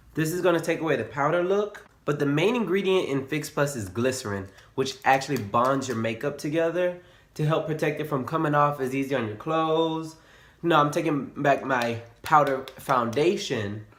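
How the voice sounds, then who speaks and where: With audible room echo, a man speaks at a moderate pace in a fairly high pitch with ordinary pitch variation. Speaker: beauty vlogger. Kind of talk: makeup tutorial.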